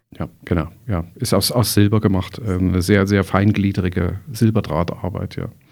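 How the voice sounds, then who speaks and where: A man speaks with a fairly low pitch and fairly even intonation. His moderate pace has hardly any pauses. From East Germany. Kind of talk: interview conversation. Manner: hesitant with many fillers and repetitions.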